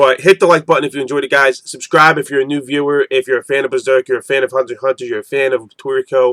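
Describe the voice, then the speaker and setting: Pitched fairly high, a man speaks very fast with hardly any pauses. The sound is dry and close, with no echo. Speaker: manga reviewer. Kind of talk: casual video review. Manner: rambling with frequent fillers and repetitions.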